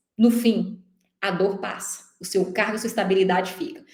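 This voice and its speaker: A woman speaks in an animated, somewhat breathy tone. Audible room echo surrounds her voice. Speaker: teacher coaching for civil service exams. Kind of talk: online lecture. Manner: fast.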